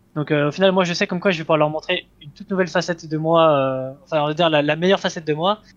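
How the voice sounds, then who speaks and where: Rushing along at a very fast pace, a man speaks with a fairly high pitch and fairly even intonation. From Switzerland. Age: 20s. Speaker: esports player. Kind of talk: interview. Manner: halting, many fillers.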